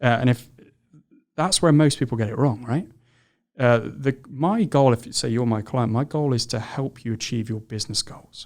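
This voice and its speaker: Speaking with a British accent, a man keeps a moderate pace and medium pitch with ordinary pitch variation. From England. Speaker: founder of a recruiting firm for construction. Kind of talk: podcast interview.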